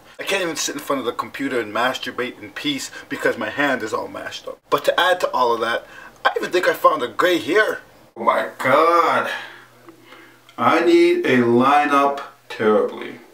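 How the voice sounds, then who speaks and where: A man talks at a moderate pace with big swings in loudness over noticeable background noise. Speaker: vlogger. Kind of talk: casual vlog. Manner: animated.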